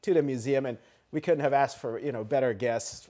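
Against a quiet background, the voice sounds dark and mellow, with ordinary pitch variation. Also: man. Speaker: guest. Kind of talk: interview answer. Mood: cheerful, smiling. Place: studio.

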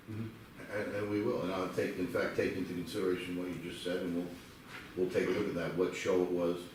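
A man's very deep, low, monotone voice at a very fast pace, with audible room echo. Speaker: lawyer. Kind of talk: public hearing testimony. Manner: loud.

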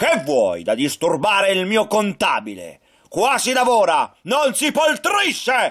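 A man shouts in a put-on character voice that is gruff and high-pitched. He delivers it at a fairly slow pace. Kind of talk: puppet show acting for children. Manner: gruff, scolding, shouting.

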